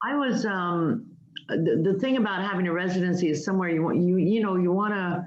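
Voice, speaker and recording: Speaking at a fairly quick pace in a Spanish accent, a woman holds a medium pitch with ordinary pitch variation. Her loudness stays very even, and audible room echo is present. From multicultural upbringing, not Irish. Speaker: writer. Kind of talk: interview.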